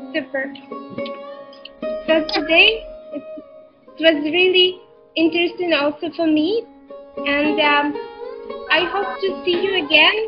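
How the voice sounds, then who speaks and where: A woman's very slow speech over clear background music. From Ukraine. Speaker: teacher. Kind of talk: online class presentation to students. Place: home room. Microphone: webcam.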